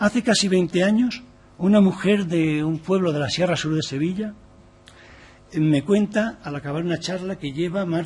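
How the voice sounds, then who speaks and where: A man's high-pitched voice moves at a moderate pace, with pitch varying in an ordinary way. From Valencia, Spain. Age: 60s. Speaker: activist speaker on gender equality. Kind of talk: formal presentation to a parliamentary committee. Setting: parliamentary committee room.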